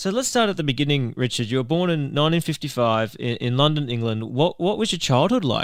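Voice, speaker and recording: A man with an Australian accent, fairly high pitch and lively intonation, talking at a fairly quick pace with hardly any pauses on a very clean recording with a silent background. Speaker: podcast host. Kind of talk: interview.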